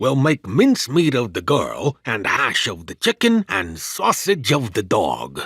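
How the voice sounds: In a put-on character voice, a man at medium pitch speaks at a fairly slow pace with very wide pitch swings, a fairly bright tone, a slightly husky edge and vocal fry, in a very clean, dry, close recording with a silent background and no echo.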